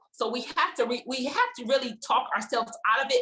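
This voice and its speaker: Bright and sharp in tone, the voice moves at a fairly quick pace with ordinary pitch variation and an animated tone. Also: woman. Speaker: stroke survivor and fitness enthusiast. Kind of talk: personal testimony in a support group. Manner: fast.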